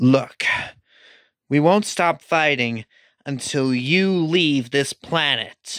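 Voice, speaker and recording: A put-on character voice sits at a low-to-middle pitch. It moves at a very slow pace with long, frequent pauses. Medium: machinima. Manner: blunt, casual.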